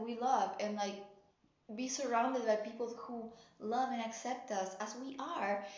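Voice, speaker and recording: Audible room echo surrounds speech with fairly even intonation. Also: woman. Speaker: tarot reader. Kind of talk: tarot reading, casual direct-to-camera talk. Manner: casual, filler-heavy, some halting.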